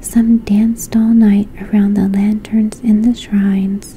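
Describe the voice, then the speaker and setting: Whispering and soft-spoken, the speaker goes at a fairly slow pace. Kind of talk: bedtime fairy tale reading. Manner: whispered, soft-spoken.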